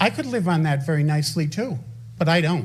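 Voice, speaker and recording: A man's voice with audible room echo. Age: 70s. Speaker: resident speaking at town council. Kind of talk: public comment at council meeting. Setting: town council meeting. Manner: animated.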